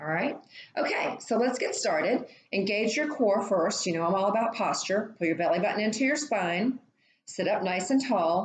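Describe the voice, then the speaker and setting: A woman speaks at a moderate pace and a medium pitch. Her voice moves through very wide pitch swings. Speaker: fitness instructor. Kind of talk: guided exercise class.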